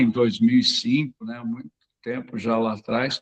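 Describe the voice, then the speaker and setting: A man speaks at a fairly slow pace in a medium pitch with ordinary pitch variation, the sound dry and close with no echo. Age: 60s. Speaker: occupational therapist. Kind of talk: webinar talk. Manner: halting, many fillers.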